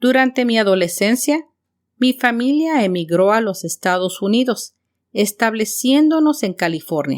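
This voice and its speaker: A woman with a fairly high pitch talks at a fairly slow pace, her pitch swinging very widely. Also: dry, close sound with no echo. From Mexico City. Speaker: podcast host and teacher. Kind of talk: scripted podcast monologue. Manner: clear, measured for learners.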